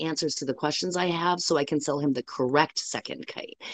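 A woman talks in a normal speaking voice at a moderate pace, with ordinary pitch variation. The background is quiet. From US Midwest, metro Detroit. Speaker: kite shop worker. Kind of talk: interview.

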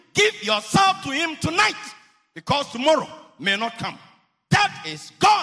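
A man with an extremely high, raised, projected voice sounds animated, swinging his pitch very widely at a fairly slow pace with long, frequent pauses. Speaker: preacher. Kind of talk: sermon at a revival campaign. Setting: church hall with live audience, also streamed online.

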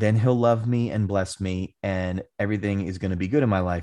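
A man with a normal speaking voice, fairly low in pitch, at a moderate pace over a quiet background. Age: 30s. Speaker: pastor and author. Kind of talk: interview conversation.

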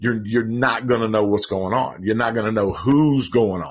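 Fairly even intonation marks a man speaking with a Southern US accent. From Tennessee. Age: 40s. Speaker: horror movie podcaster. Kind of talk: casual chat.

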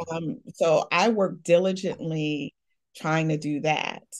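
A woman talks in an ordinary speaking voice at a fairly low pitch and a fairly slow pace over a quiet background. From Chicago. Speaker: divorced mother and higher education administrator. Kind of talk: interview testimony.

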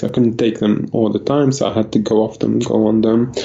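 A man speaks at a fairly quick pace with fairly even intonation. Noticeable background noise runs behind him. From Lebanon. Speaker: food blogger and IT worker. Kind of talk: interview. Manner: halting.

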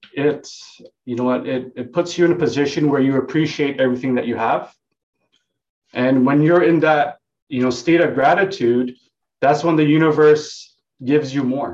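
A man uses an ordinary speaking voice, fairly high in pitch, with ordinary pitch variation and a moderate pace. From Vancouver, Canada (born in Hong Kong). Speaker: real estate agent. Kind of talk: casual interview.

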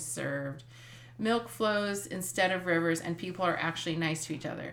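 With a normal speaking voice, a woman uses lively intonation at a moderate pace and a fairly low pitch. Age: 50s. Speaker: podcast co-host, mother. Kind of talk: casual chat.

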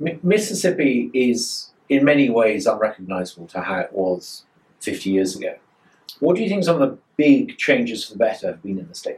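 With vocal fry, very wide pitch swings and big swings in loudness, a man speaks at a moderate pace. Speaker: interviewer. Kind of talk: interview.

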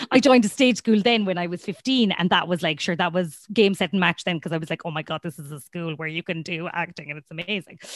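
A woman with an Irish accent and a fairly low pitch talks at a very fast pace, recorded dry and close with no echo. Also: ordinary pitch variation, hardly any pauses, quiet background. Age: 30s. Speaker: comedian. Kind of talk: casual chat.

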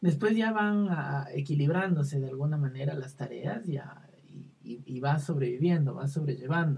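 A man's fairly high, somewhat breathy voice at a moderate pace, with ordinary pitch variation. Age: 20s. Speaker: psychologist. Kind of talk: casual chat.

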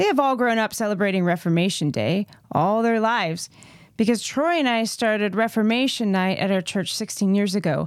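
A plain, everyday voice from a woman at medium pitch, fairly quick in pace, with ordinary pitch variation and very even loudness. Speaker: podcast co-host. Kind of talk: casual chat.

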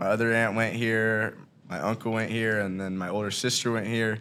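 A man with a fairly low pitch, a monotone, flat delivery and a fairly quick pace. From Ohio, Hamilton. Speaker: college basketball walk-on player. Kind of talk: casual chat.

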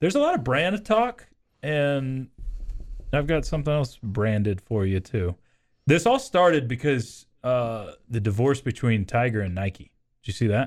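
In an ordinary speaking voice of medium pitch, a man talks fairly slowly with lively intonation, in a very clean recording with a silent background. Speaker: radio sports talk host. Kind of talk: casual sports talk chat. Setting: radio studio.

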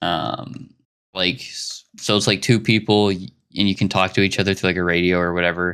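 Very deep and low in pitch, a man with an American accent talks at a fairly quick pace with ordinary pitch variation. The recording is very clean, with a silent background. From Arkansas, US South. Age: 20s. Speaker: podcast host. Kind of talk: casual chat.

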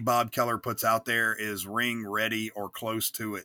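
A man with an American accent and a bright, sharp tone at a moderate pace, in a very clean recording with a silent background. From Virginia, Newport News area. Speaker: professional wrestler. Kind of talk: casual interview.

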